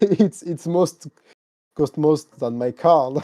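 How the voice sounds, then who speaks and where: At a very slow pace, a man with a French accent speaks in a fairly high, dark, mellow voice, the sound dry and close with no echo. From France. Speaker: sim racing content creator. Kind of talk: casual interview. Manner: halting.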